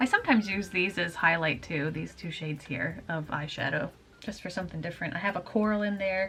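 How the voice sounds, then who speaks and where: Quiet and very fast, a woman speaks in a fairly low pitch with ordinary pitch variation over noticeable background noise. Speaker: beauty vlogger. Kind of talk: casual get-ready-with-me chat. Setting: at home. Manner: talking quietly.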